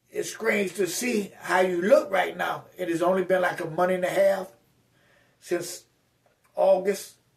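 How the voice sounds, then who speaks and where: The man's pitch is high. His intonation stays fairly even. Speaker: motivational vlogger recovering from stroke. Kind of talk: casual vlog monologue. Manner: halting, repeats words.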